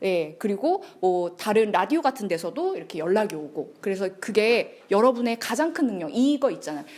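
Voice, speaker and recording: A woman's fairly high voice at a moderate pace, with very wide pitch swings and hardly any pauses. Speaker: lecturer. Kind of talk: lecture.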